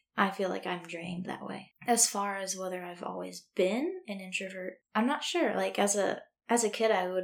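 A woman's medium-pitched voice shows vocal fry and fairly even intonation. She speaks at a moderate pace. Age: 20s. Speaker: college student guest. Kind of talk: casual chat.

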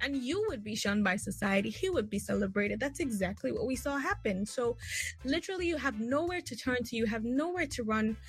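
A woman with vocal fry at a fairly quick pace. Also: lively intonation. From northern Nigeria. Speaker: writer and women's rights activist. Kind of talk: interview.

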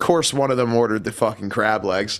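A man with an American accent, an ordinary speaking voice at medium pitch, ordinary pitch variation and a fairly quick pace. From Philadelphia, Pennsylvania. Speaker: punk musician. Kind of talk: casual chat. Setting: video call.

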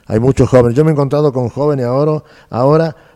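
A man's dark, mellow voice sits at a medium pitch in a very clean recording with a silent background. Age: 70s. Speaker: actor and director. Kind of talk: casual interview.

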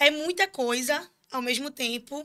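Raised and projected, a woman's high-pitched voice carries ordinary pitch variation. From Pernambuco interior, Brazil (Surubim). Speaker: student union president. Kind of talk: casual interview. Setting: studio, live stream.

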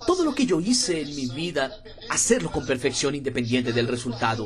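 Over noticeable background noise, a man speaks in a fairly high voice with very wide pitch swings. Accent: Portuguese. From Brazil, interior of Pernambuco. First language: Portuguese (speaking Spanish). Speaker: network marketing leader. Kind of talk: motivational talk.

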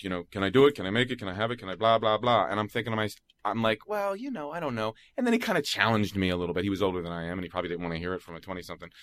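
In a very clean recording with a silent background, a man with an American accent and fairly low pitch talks at a very fast pace with ordinary pitch variation. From US Northeast, Philadelphia. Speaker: voice actor. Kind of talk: casual chat. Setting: studio.

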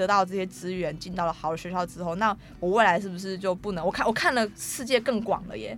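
A woman talks at a fairly quick pace in an ordinary speaking voice. Her medium pitch shows ordinary pitch variation. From Taiwan, Taoyuan (Daxi). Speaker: film student, Atayal. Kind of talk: interview.

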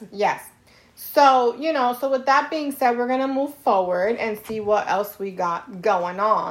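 Her tone animated, a woman speaks in a high pitch with lively intonation. She goes at a fairly slow pace. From New York. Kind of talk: casual chat.

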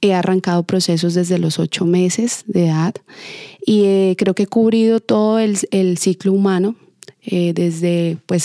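The sound is dry and close, with no echo. A woman speaks in a dark, mellow tone. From southern Colombia, Ipiales (Nariño). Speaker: dance teacher and choreographer. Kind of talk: interview.

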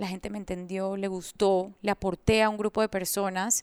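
In an unremarkable speaking voice, a woman of medium pitch speaks at a fairly slow pace, on a very clean recording with a silent background and a dry, close sound with no echo. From Colombia, moved to Panama at 10. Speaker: entrepreneur and coach. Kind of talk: interview.

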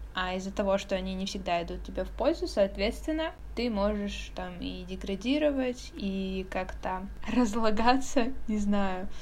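Speaking fairly slowly, a woman's voice carries audible echo from the room. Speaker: podcast co-host. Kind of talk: casual chat.

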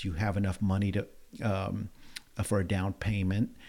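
A man with a New Orleans accent speaks at a moderate pace in a fairly low pitch, on a very clean recording with a silent background. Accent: New Orleans Southern US. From New Orleans, Louisiana. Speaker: real estate agent. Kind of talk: interview.

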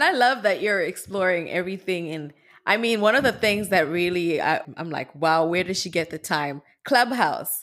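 Lively intonation and big swings in loudness mark this moderate-paced voice with a Zimbabwean accent. The recording is very clean, with a silent background. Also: woman, medium pitch for a woman. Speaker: podcast host. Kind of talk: interview.

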